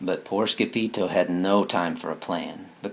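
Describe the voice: Plain reading aloud is all there is. The passage is read out as written.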